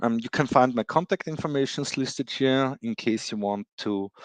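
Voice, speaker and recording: A man is recorded with a dry, close sound with no echo against a quiet background. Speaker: cloud computing expert. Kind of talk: technical presentation. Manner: halting, many fillers.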